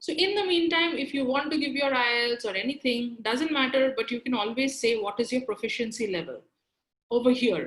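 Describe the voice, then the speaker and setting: Her voice is high in pitch, with a Bengali accent, lively intonation and a fairly quick pace. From India, Kolkata. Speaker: career trainer. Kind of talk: webinar lecture. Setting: online webinar.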